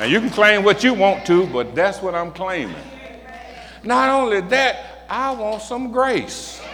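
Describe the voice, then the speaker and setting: A man with a high pitch speaks at a fairly slow pace. His intonation is lively, and background noise is noticeable. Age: 60s. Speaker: pastor. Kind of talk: sermon. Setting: church. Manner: animated.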